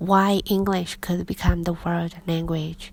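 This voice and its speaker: A woman with a Chinese accent, a fairly low pitch and a monotone, flat intonation. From China. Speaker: English teacher. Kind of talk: reading aloud.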